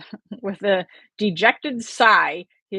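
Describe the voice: Over a quiet background comes plain reading aloud with fairly even intonation.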